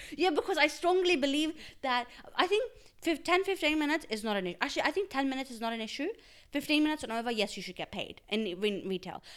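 Her high voice moves at a very fast pace, animated in tone, with very wide pitch swings. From Australia. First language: Urdu. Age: 20s. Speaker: podcast co-host. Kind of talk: casual chat.

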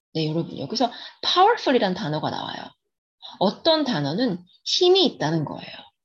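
Somewhat breathy at a medium pitch, a woman speaks at a moderate pace with very wide pitch swings. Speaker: English picture book storyteller and educator. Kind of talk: reading a picture book aloud with commentary.

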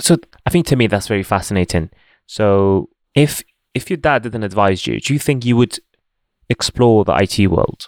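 With a non-native accent and a fairly low pitch, a man talks at a moderate pace using lively intonation and long, frequent pauses, recorded very cleanly against a silent background. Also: dry, close sound with no echo. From born outside the UK. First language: not English. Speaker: podcast host. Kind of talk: casual interview chat.

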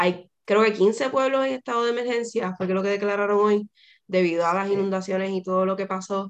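A woman's ordinary speaking voice, medium in pitch, with fairly even intonation. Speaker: podcast host. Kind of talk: casual chat.

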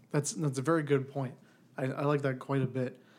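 A man's normal speaking voice at medium pitch and a fairly quick pace, in a very clean recording with a silent background. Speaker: podcast host. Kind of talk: casual interview.

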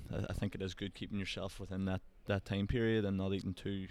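With an Irish accent, a man speaks very fast in a fairly low voice on a very clean recording with a silent background. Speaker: podcast host, Gaelic footballer. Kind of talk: casual interview chat.

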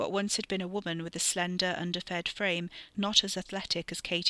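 An unforced reading voice carries the words.

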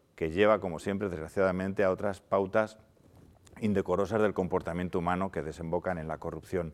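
This very clean recording with a silent background captures a man talking. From Spain, León province. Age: 50s. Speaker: regional politician. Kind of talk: panel debate. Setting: theatre stage with audience. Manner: formal.

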